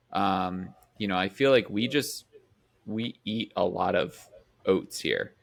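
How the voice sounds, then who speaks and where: Very slow and marked by long, frequent pauses, a man speaks at a fairly low pitch with ordinary pitch variation and a slight Midwestern accent. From US Midwest. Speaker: podcast co-host. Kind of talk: casual chat.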